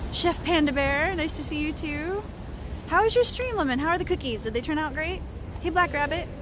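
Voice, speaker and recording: With an American accent, a woman talks at a fairly quick pace in an extremely high pitch and lively intonation, with audible room echo and noticeable background noise. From US West Coast. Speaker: livestreamer. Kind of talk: casual chat. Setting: outdoors. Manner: fast.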